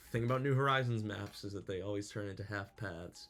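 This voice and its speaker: Mumbling very fast, a man talks at a fairly low pitch with ordinary pitch variation. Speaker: gaming YouTuber. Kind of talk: gameplay commentary. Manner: halting, many fillers.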